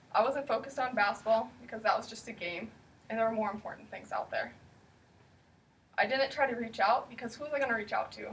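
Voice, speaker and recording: Speaking in a Pacific Northwest accent, the talker moves at a very fast pace between long, frequent pauses, with ordinary pitch variation. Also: woman, fairly high pitch for a woman, big swings in loudness. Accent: Pacific Northwest American. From US Pacific Northwest. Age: 20s. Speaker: eating disorder recovery speaker. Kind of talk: personal testimony speech.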